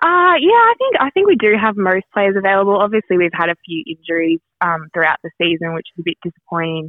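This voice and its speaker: A woman with an Australian accent and a medium pitch talks very fast with hardly any pauses. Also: ordinary pitch variation. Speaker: women's footballer. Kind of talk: interview. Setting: phone call.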